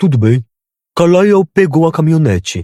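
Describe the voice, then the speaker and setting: A man uses a put-on character voice with fairly high pitch and lively intonation. His moderate pace comes through a dry, close sound with no echo. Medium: read story. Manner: polite, businesslike.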